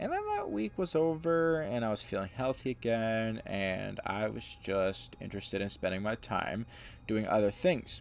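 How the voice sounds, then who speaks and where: This man's medium-pitched voice moves at a moderate pace with lively intonation. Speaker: gaming YouTuber. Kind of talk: gameplay commentary, casual. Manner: casual, hesitant with fillers.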